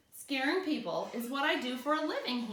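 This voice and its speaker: A woman puts on a character voice with a high pitch. She speaks fairly quickly, with a slight echo. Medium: read story. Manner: sly, teasing.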